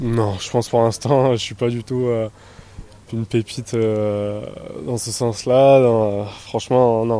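A dark, mellow tone at a fairly slow pace, with little pitch movement. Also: man, medium pitch for a man.

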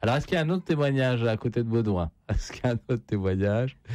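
Lively intonation and a fast pace mark this man's speech. His pitch is medium and his tone slightly mellow.

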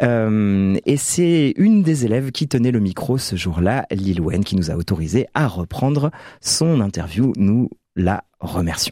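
Over a very clean, silent background with a dry, close sound and no echo, a man speaks at a fairly slow pace in a fairly low pitch, with a dark, mellow tone and lively intonation.

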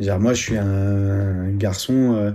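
The tone is dark and mellow. Delivery comes at a fairly slow pace with fairly even intonation. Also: man, fairly low pitch for a man.

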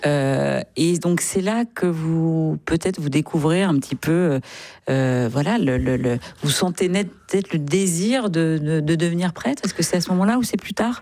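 A woman talks at a moderate pace in a low pitch, with ordinary pitch variation. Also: slightly mellow tone.

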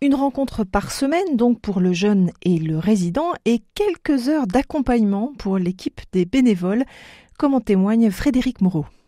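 A woman speaks with a dark, mellow tone and a fairly high pitch, her intonation lively. Her moderate pace comes through dry and close, with no echo.

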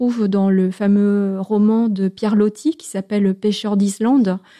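Here is a natural reading voice. Its intonation stays fairly even.

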